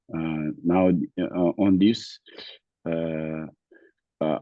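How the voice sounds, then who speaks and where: A man with a non-native accent speaks very slowly in a very deep, low voice with fairly even intonation. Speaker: student, Buddhist lama. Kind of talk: self-introduction in online class. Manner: halting.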